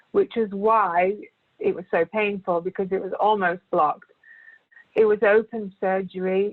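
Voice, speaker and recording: This woman has a British accent and speaks at a fairly slow pace. Her intonation is monotone and flat. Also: medium pitch for a woman. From Britain. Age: 40s. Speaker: cancer patient, primary school teacher. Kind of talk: testimony.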